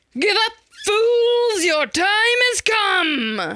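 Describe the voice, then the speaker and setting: This put-on character voice sits at an extremely high pitch. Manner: menacing.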